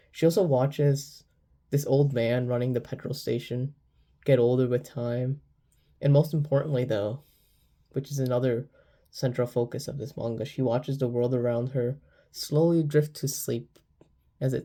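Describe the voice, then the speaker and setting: This man talks at a moderate pace in a medium pitch, somewhat breathy. He leaves long, frequent pauses. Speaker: manga reviewer. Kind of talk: video review. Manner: halting.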